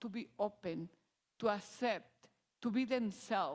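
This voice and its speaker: A woman speaks with a strong non-native accent. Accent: strong foreign. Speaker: parent advocate for transgender child. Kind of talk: personal testimony. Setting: church service, in person and on video call. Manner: halting, with restarts.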